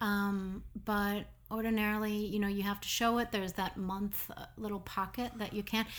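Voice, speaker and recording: A woman with an Upper Midwest accent, medium in pitch, monotone and flat, at a moderate pace. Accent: Upper Midwest American. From Minnesota, Minneapolis. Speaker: art gallery owner. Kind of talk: casual interview. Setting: studio.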